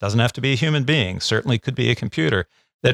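A man talks fairly quickly at medium pitch with lively intonation in a plain, everyday voice, on a very clean recording with a silent background and a dry, close sound with no echo. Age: 50s. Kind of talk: interview.

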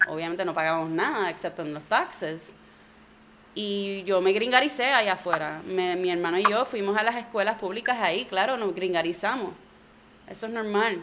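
Over noticeable background noise, a woman with a Puerto Rican accent speaks at a moderate pace, with medium pitch and ordinary pitch variation. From Puerto Rico, partly raised in Orlando. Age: 30s. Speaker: comedian. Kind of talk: interview conversation.

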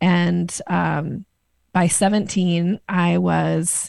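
A woman with an American accent speaks at a medium pitch, somewhat breathy. The recording is very clean, with a silent background. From US Northwest, Boise, Idaho. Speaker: sales coach and author. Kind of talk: interview.

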